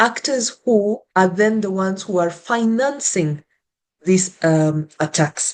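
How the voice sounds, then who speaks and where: A woman speaks at a very slow pace and a medium pitch. Her intonation is lively. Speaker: panelist, researcher and activist. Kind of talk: panel discussion. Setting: online virtual event with interpretation. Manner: deliberately slow with pauses.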